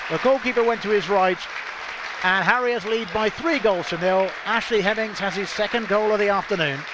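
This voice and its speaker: A man with a high pitch speaks in an animated tone with ordinary pitch variation. Crowd noise fills the background. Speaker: football commentator. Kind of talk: live radio-style football match commentary. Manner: animated, fast-paced play-by-play, rising on goals and chances.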